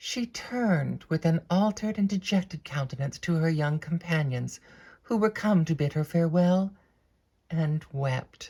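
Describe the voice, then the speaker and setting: A woman with an American accent, a dark, mellow tone, fairly low pitch, lively intonation, some breathiness and a fairly slow pace. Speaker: actress, harpist; former classical music radio host. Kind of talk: audiobook reading of classic novel.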